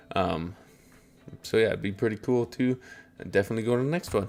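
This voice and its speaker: Music plays behind a man with a fairly low pitch. He talks at a fairly quick pace with ordinary pitch variation. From southern Alberta, Canada. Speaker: streamer and cosplayer. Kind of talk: casual live-stream chat.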